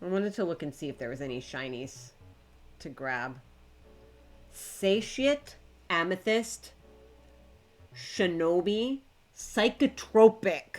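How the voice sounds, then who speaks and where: A woman speaks at a very slow pace with long, frequent pauses and very wide pitch swings, her pitch fairly low. Music plays in the background. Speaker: game streamer. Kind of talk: casual live stream chat. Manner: halting, repeating words; trying to slow down.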